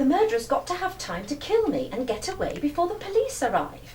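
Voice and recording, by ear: Using a put-on character voice, a woman speaks at an extremely high pitch with very wide pitch swings and a slightly mellow tone. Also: fairly quick pace.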